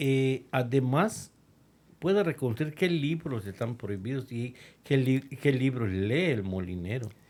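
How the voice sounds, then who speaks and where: Over a silent background on a very clean recording, the speaker uses a dark, mellow tone and lively intonation at a fairly slow pace. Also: man. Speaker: radio host, historian. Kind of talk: radio podcast conversation about history. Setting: radio booth studio.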